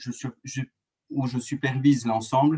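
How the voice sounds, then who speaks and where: A man speaks with a strong Franche-Comté accent at a medium pitch. His pace is fairly slow. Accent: strong rural Doubs (Franche-Comté). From France, rural Doubs (Franche-Comté). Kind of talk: webinar presentation. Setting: online webinar. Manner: hesitant, many fillers and restarts.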